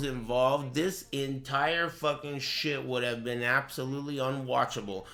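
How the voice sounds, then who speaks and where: At a moderate pace, a man speaks in a fairly high voice over noticeable background noise. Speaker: streamer watching and commenting on a tournament. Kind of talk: casual stream commentary.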